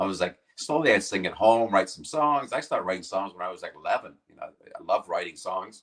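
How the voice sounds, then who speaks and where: A man with a Canadian accent at a fairly quick pace, with big swings in loudness. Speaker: rock singer and guitarist. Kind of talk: interview.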